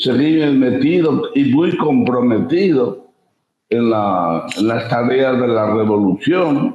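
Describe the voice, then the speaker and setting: A man at a medium pitch and a very slow pace, with lively intonation and very even loudness. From Spain, Ávila. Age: 80s+. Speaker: writer, sociologist, former priest. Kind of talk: interview answer.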